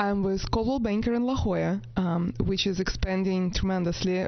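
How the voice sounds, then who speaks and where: With a non-native accent, a woman speaks at a moderate pace and medium pitch, using ordinary pitch variation. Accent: foreign. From Latvia. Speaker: real estate agent. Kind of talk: interview.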